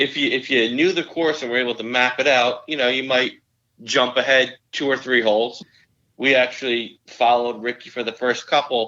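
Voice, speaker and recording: Fairly even intonation carries a man's speech at a moderate pace. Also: medium pitch for a man. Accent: New Jersey. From northern New Jersey. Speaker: amateur golfer. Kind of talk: casual chat.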